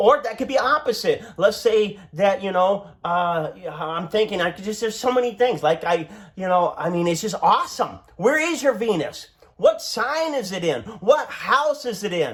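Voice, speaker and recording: Loud and animated, a man speaks at a moderate pace with a high pitch and very wide pitch swings. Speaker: astrologer. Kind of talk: tutorial.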